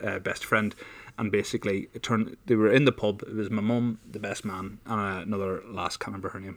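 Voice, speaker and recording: On a very clean recording with a silent background, a man with an Irish accent talks at a fairly quick pace, his fairly low voice keeping fairly even intonation. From Ireland. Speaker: podcast co-host. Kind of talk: casual chat. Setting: studio.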